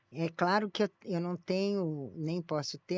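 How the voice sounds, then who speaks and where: A woman speaks with ordinary pitch variation. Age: 70s. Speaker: sociology professor. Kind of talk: podcast interview. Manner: halting, many restarts.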